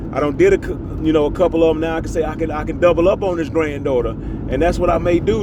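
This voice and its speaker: At a very fast pace, a man with a fairly high voice talks with fairly even intonation, amid noticeable background noise and audible room echo. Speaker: dog breeder. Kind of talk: casual monologue vlog. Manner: halting, repetitive.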